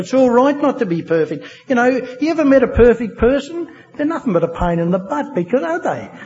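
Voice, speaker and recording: A man speaks at a fairly quick pace with a strong Australian accent, his pitch extremely high and swinging very widely. Noticeable background noise runs under him. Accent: broad Australian. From Australia, New South Wales (Wagga Wagga). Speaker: AA speaker sharing recovery story. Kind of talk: testimony. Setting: stage with audience. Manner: halting, many fillers.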